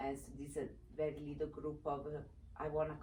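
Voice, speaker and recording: There is a woman speaking with an Italian accent in a very deep, low pitch. Room echo is audible. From Italy, Vicenza. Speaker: former TV personality and advocate. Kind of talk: interview. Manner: halting, many fillers.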